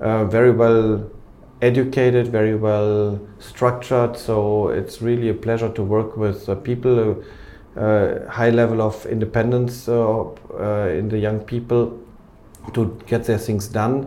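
A man with a German accent, medium in pitch, fairly slow and flat in intonation, with audible room echo. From Germany, Cologne. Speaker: company executive. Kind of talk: interview.

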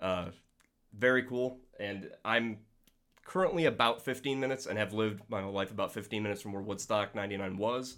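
A man with an ordinary speaking voice talks at a fairly quick pace in a fairly low pitch, using ordinary pitch variation, in a very clean recording with a silent background. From New York State. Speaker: podcast listener and mashup creator. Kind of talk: casual chat.

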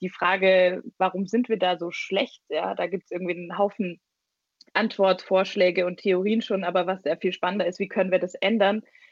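Monotone, flat female speech at a medium pitch and moderate pace. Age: 20s. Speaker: party leader. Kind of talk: interview. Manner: hesitant, many fillers.

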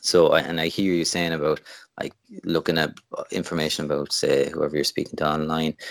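With a Limerick accent, a man speaks in a very deep, low pitch at a fairly quick pace. His intonation is monotone and flat. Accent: Irish (Limerick). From Ireland, Limerick. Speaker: wedding photographer. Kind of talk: casual interview.

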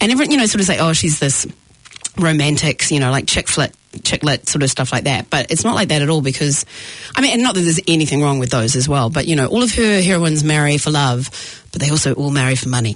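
Over noticeable background noise, a woman with a New Zealand accent speaks very fast at a very deep, low pitch, keeping her loudness very even. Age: 40s. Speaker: comedian and actor. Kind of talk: casual chat. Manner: animated.

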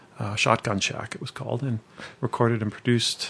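Speaking at a fairly quick pace with a Canadian accent, a man uses a plain, everyday voice at medium pitch with ordinary pitch variation. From Cambridge, Ontario, Canada. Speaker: former classical musician and sound engineer. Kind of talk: casual interview.

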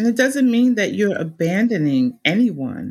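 In a New Jersey accent, the speaker goes at a fairly slow pace with big pitch swings. The tone is slightly mellow with a slightly husky edge. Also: woman, medium pitch for a woman.

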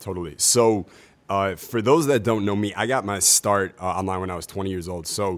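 A man talks at a fairly quick pace in a fairly low pitch. He has a plain, everyday voice and fairly even intonation. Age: 30s. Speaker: online marketer and dating coach. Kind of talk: casual chat. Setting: convention podcast recording.

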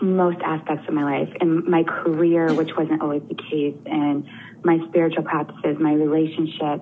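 Fairly low-pitched female speech at a moderate pace, set against noticeable background noise. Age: 30s. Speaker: caller seeking coaching. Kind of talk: coaching conversation. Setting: phone call.

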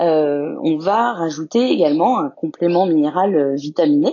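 A woman's fairly low pitch with lively intonation. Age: 30s. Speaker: zoo veterinarian. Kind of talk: interview. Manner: halting, many hesitations.

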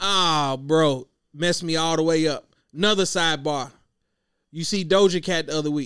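The recording is very clean with a silent background, and a man with a fairly high pitch talks at a moderate pace. His intonation stays fairly even, broken by long, frequent pauses. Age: 30s. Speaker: podcast host. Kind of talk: casual chat.

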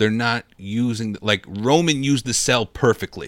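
In a very clean recording with a silent background and a dry, close sound with no echo, a man with an ordinary speaking voice talks fairly slowly at a medium pitch with ordinary pitch variation. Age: 20s. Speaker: wrestling podcast co-host. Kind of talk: casual chat.

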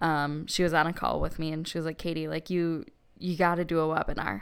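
In a very clean recording with a silent background, a woman with a Midwestern accent and fairly low pitch speaks with fairly even intonation. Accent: Midwest. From Wisconsin. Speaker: podcast co-host, social media marketer. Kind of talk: casual chat.

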